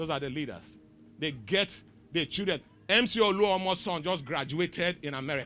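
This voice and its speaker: Here a man sounds animated, with a bright, sharp tone and high pitch. He moves at a moderate pace with ordinary pitch variation. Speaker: pastor. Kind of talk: sermon. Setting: church.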